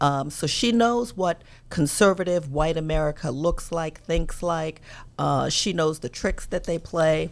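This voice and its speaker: Speaking with a slight South Carolina accent, a woman talks at a fairly slow pace and fairly low pitch, with ordinary pitch variation. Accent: slight South Carolina Southern. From New York, with summers and high school in South Carolina. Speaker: talk show host and political commentator. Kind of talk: casual chat.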